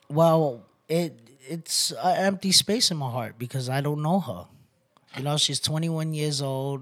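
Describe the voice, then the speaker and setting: The recording is very clean, and the background is silent. Delivery moves at a fairly slow pace. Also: man. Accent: New York. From New York City. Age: 30s. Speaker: rescue mission resident. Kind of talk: testimony.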